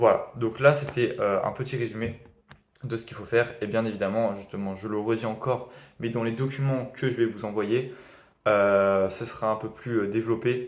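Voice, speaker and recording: Monotone, flat intonation runs through a man's medium-pitched speech. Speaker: e-commerce beginner vlogger. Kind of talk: video diary summary of a training course. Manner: fast; hesitant, many fillers.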